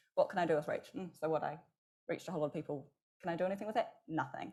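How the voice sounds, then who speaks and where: A woman is speaking. Her pace is very fast. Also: long, frequent pauses. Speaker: marketing executive and agency founder. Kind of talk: conference panel discussion.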